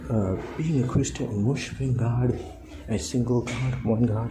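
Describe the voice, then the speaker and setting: A man's medium-pitched voice holds fairly even intonation, with noticeable background noise and audible room echo. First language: a non-English native language. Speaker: lay preacher. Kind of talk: informal devotional talk. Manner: halting, many fillers and restarts.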